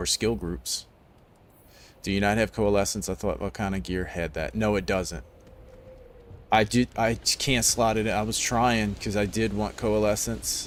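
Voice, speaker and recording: A man speaks at a moderate pace in a fairly low pitch, with vocal fry and ordinary pitch variation. His speech has long, frequent pauses. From New Orleans, Louisiana. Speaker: gaming streamer. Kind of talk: live gameplay commentary. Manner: casual, rambling.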